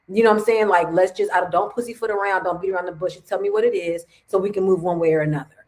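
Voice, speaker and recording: Racing at a very fast pace with hardly any pauses, a woman keeps her intonation fairly even. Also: medium pitch for a woman. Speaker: podcast co-host. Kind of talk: casual chat. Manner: loud; boisterous.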